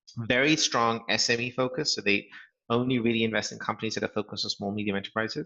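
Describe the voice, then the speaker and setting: Talking at a very fast pace, a man with a British accent keeps a medium pitch and fairly even intonation. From England. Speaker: startup founder and CEO. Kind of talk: interview. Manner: frequent fillers and hesitations.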